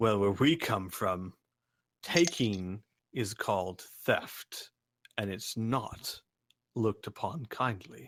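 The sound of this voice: A booming, low-pitched put-on character voice, very slow, with long, frequent pauses.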